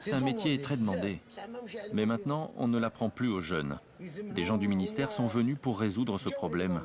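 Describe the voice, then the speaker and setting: A man speaks at a medium pitch with very wide swings in it. His pace is moderate, and background noise is noticeable. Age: 70s. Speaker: fishing net mender. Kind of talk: documentary interview testimony.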